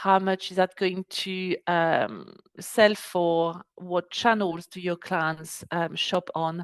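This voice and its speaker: Speaking with a French accent, a woman talks very slowly at a medium pitch, her intonation fairly even. The background is quiet and the sound dry and close, with no echo. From France. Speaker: export business adviser. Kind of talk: webinar presentation. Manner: hesitant, many fillers.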